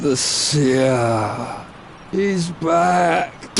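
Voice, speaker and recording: A man's cartoonish character voice, fairly high in pitch, over clear background noise. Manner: halting, breathy.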